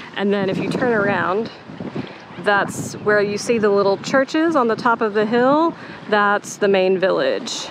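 The speech comes at a fairly slow pace, with a dry sound that has no echo and noticeable background noise. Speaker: travel vlogger. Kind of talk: casual vlog chat. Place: beach. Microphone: phone near.

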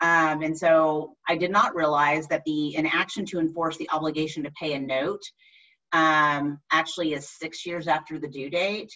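A bright, sharp tone in an American accent, with fairly even intonation over a quiet background. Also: woman, very deep, low pitch for a woman, moderate pace. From Texas. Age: 40s. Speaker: attorney. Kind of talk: lecture. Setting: video call. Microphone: webcam.

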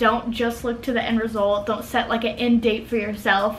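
With faint background noise behind her, a woman speaks at a fairly quick pace in a fairly high, fairly bright voice.

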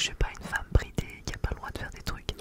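A soft-spoken woman whispering at a very fast pace. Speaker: channel host. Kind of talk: casual ASMR-style chat. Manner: soft close-mic ASMR whisper. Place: home room. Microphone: studio mic.

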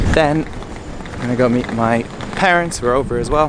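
Recorded dry with no echo, a man talks over noticeable background noise. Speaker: vlogger. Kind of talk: casual vlog chat. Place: street. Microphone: phone near.

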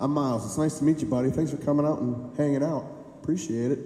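A man talks at a fairly quick pace while clear music sits in the background. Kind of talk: stage banter with audience. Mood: friendly joking. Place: bar.

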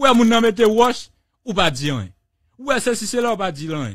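A man's high-pitched voice, lively in intonation, at a moderate pace. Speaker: radio host. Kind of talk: radio talk show.

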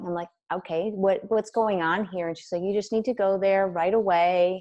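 Against a quiet background, a woman with a plain, everyday voice talks at a fairly quick pace with fairly even intonation. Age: 30s. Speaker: wellness coach and author; podcast guest. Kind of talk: casual interview. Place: home room. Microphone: earbuds.

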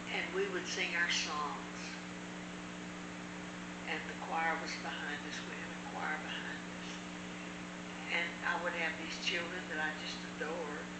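Over loud background noise, a woman speaks at a fairly slow pace with long, frequent pauses. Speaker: church teacher. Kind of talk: personal story told in conversation. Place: home room. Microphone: camera far.

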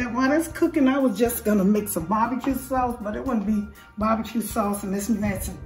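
A woman at a very fast pace with ordinary pitch variation, with audible room echo and faint background music. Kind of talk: cooking tutorial. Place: kitchen. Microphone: camera far.

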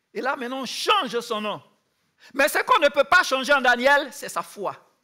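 A raised, projected voice with a bright, sharp tone moves at a fairly slow pace against a quiet background. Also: man. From Ivory Coast. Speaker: youth camp speaker; speaker. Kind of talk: sermon. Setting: youth camp with audience. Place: stage.

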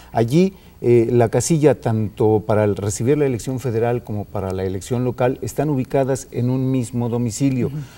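With hardly any pauses, a man talks in a dark, mellow tone. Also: medium pitch for a man, ordinary pitch variation, fairly quick pace. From Mexico. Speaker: electoral official guest. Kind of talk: TV interview. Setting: studio. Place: studio.

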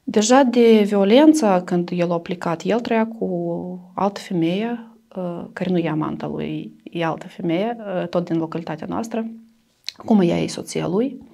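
A woman speaks in a Russian accent with lively intonation. Her pace is fairly slow, and the background is quiet. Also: medium pitch for a woman. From Transnistria, Moldova; Moldova. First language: Russian (speaking Romanian). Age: 30s. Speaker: domestic violence survivor; interviewee. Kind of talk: interview testimony. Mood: somber, recounting past violence. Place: studio. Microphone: lapel.

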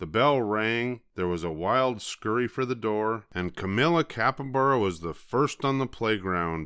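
The voice heard is a natural reading voice.

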